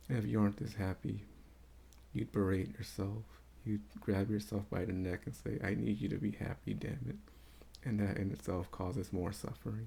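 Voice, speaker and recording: A man speaks at a moderate pace in a very deep, low pitch with a dark, mellow tone. Vocal fry comes through, and his intonation is lively. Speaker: spiritual vlogger. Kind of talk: casual unscripted monologue. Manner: quieter than normal. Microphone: may not pick up his quiet voice.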